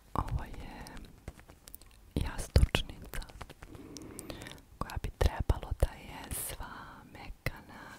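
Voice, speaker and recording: A woman speaks in a whisper. There is noticeable noise behind her. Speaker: ASMR creator. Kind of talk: ASMR haul video. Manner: whispered.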